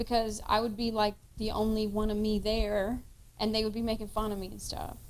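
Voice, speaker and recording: With audible room echo, a woman speaks fairly quickly at a fairly high pitch in a monotone, flat way. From Kentucky. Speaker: podcast cohost and actress. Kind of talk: casual chat.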